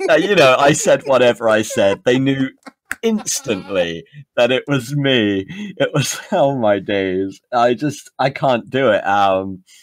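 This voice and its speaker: At a fairly slow pace, a man speaks in a medium pitch with lively intonation. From England. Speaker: podcast host. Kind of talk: casual chat.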